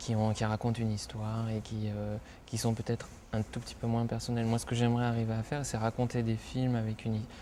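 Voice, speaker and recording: Delivered at a very fast pace, the voice has a dark, mellow tone and a monotone, flat intonation. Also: man, medium pitch for a man. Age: 30s. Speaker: film director. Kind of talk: interview. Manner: hesitant, many filler sounds.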